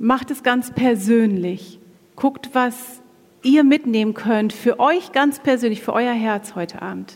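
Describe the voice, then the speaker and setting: Noticeable background noise sits behind a woman speaking at a very slow pace. Her voice is high, with ordinary pitch variation. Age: 40s. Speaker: women's ministry speaker, pastor's wife. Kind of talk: sermon-style talk at church women's event.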